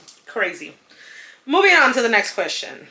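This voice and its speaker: A woman talks at a moderate pace in a Spanish accent. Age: 30s. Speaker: lifestyle vlogger. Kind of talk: casual chat. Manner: chatty, with many fillers.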